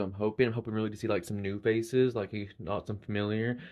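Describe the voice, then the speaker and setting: The talk comes at a very fast pace in an Appalachian accent. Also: man. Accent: Appalachian US Southern. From Eastern Kentucky. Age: 30s. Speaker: reality game contestant. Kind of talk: casual confessional intro. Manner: halting, many fillers.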